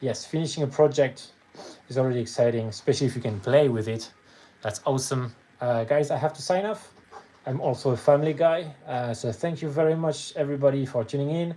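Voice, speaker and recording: A man with a French accent, fairly high-pitched, at a fairly quick pace. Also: ordinary pitch variation. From France. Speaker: miniature painter streamer. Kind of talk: casual live stream chat. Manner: halting.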